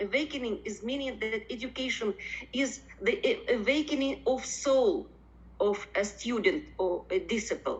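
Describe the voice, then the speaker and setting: At a moderate pace, the voice moves through very wide pitch swings. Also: woman, high pitch for a woman. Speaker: professor. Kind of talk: conference presentation. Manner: halting, many fillers.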